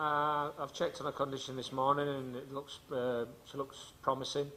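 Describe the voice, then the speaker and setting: The voice has a bright, sharp tone and an English accent, delivered at a moderate pace. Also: man. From England. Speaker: football coach. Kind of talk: press conference. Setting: press conference. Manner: halting.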